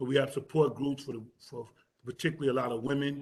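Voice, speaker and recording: Somewhat breathy and fairly high-pitched, a man speaks at a fairly quick pace in a monotone, flat intonation. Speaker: nonprofit director and exoneree. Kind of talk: community meeting presentation. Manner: fast; stumbling over words.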